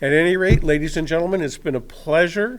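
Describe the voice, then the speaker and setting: Audible room echo surrounds a voice moving at a fairly quick pace with ordinary pitch variation. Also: man. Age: 60s. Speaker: resident speaking at public comment. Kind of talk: public comment at city council meeting. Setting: council chamber podium.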